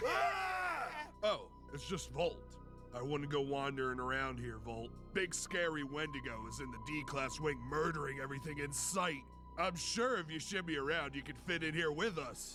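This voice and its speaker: A man speaks in a cartoonish character voice, fairly high-pitched for a man, at a moderate pace. Loud background noise runs behind him. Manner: frantic.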